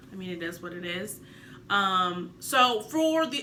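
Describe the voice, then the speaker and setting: A woman speaking amid noticeable background noise, with room echo clearly audible. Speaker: vlogger, new public speaking club member. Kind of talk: casual vlog talk to camera. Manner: fast at sentence ends; varied pitch and emphasis.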